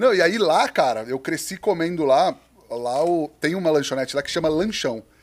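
A man talks in an ordinary speaking voice at a fairly high pitch. His intonation is lively and his pace moderate. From interior of São Paulo state, Brazil (Penápolis). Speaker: restaurant owner and podcaster. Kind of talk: casual chat.

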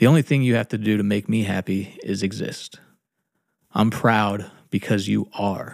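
On a very clean recording with a silent background, a man speaks at a moderate pace in a fairly low pitch with fairly even intonation. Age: 30s. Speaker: podcaster and expectant father. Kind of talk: personal letter read aloud. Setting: at home.

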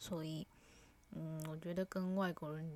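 Delivery is fairly unhurried. The pitch holds fairly level throughout. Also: woman. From Taiwan. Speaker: vlogger. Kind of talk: casual monologue.

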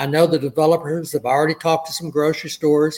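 An ordinary speaking voice from a man with an American accent, fairly high in pitch, at a moderate pace. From Southeast Texas (Port Arthur). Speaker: city council member, retired lawyer. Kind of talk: interview.

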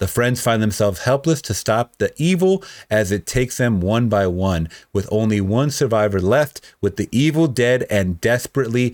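A man with a fairly low pitch speaks at a moderate pace in an animated tone. His intonation is lively, and the recording is very clean with a silent background. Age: 30s. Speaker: podcast host. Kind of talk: casual chat; reading aloud.

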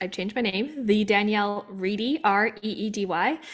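On a very clean recording with a silent background, a woman with a Canadian accent speaks in a plain, everyday voice, her fairly high pitch showing ordinary variation. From Canada, Vancouver. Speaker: former Olympic athlete and coach. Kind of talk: casual chat.

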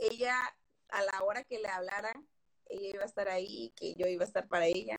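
A woman speaks with a slight Veracruz accent. Her intonation is fairly even. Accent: faint Veracruz accent, rarely noticed. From Veracruz port, Mexico. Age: 20s. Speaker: host's best friend. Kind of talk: casual live chat.

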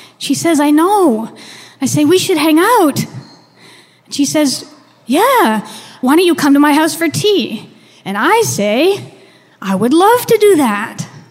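A woman with a Canadian accent, high-pitched with very wide pitch swings, at a very slow pace with long, frequent pauses, over noticeable background noise. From Canada. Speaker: storyteller. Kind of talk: storytelling.

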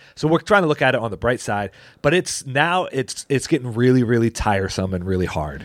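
A man talks loudly at a fairly quick pace, medium in pitch with very wide pitch swings. The recording is very clean with a silent background and a dry, close sound without echo. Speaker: pastor and podcast host. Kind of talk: casual chat. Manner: halting.

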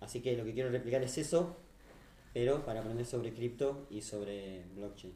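In a Rioplatense accent, a man speaks at a moderate pace and medium pitch with ordinary pitch variation, his tone dark and mellow and somewhat breathy, with audible room echo. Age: 20s. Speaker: crypto startup founder. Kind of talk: podcast interview. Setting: live stream.

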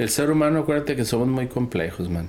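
Recorded with audible room echo, a man speaks at medium pitch in a Mexican accent. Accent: Mexican Spanish (Jalisco). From Mexico, Guadalajara (Jalisco). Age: 50s. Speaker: dermatologist. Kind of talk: casual interview chat. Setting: in person at a conference in Singapore.

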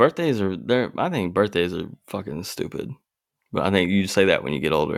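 A man's very deep, low voice with vocal fry, lively intonation and a fairly quick pace. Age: 20s. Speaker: podcast co-host. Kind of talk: casual chat.

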